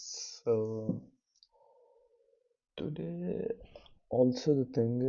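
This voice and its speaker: Music plays in the background as a man speaks at a very slow pace. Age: 20s. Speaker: vlogger, student entrepreneur. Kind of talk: casual vlog monologue. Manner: soft-spoken, quiet so as not to wake others; slow, hesitant with fillers.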